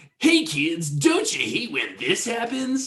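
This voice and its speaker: The speaker puts on a high-pitched character voice at a fairly slow pace. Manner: silly, exaggerated, cheerful.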